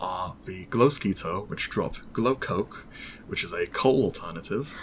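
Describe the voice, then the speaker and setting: Speaking with a British accent, a man moves at a fairly slow pace. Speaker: mod developer, podcast guest. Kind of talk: casual podcast interview. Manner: hesitant, many fillers.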